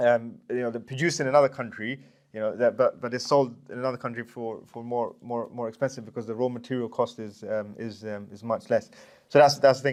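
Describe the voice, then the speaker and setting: Medium-pitched male voice, monotone and flat in intonation, fairly quick in pace, with big swings in loudness. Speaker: course presenter on finance. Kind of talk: lecture. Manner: fast; halting.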